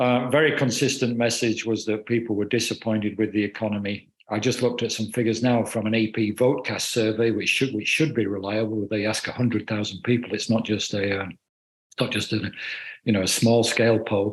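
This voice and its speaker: With a British accent, a man talks at a fairly quick pace in a medium pitch and a monotone, flat intonation. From United Kingdom. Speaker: political journalist. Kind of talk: panel discussion.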